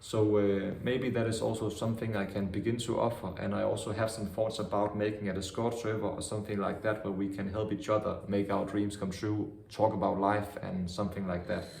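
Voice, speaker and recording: Fairly quick, monotone speech from a man with fairly low pitch and flat intonation, hardly any pauses, plus audible room echo and noticeable background noise. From Denmark, Vejle. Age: 20s. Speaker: vlogger. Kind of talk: casual monologue.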